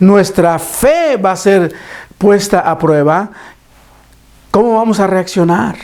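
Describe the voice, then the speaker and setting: Very slowly and at a high pitch, a man speaks with ordinary pitch variation over noticeable background noise. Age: 60s. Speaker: preacher. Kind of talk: sermon. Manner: halting.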